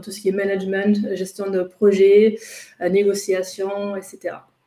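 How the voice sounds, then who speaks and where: Woman with a slight German accent, medium pitch and a dark, mellow tone. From Germany, Ruhr region. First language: German (speaking French). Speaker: intercultural trainer and coach. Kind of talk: webinar presentation. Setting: online webinar. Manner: hesitant, many fillers.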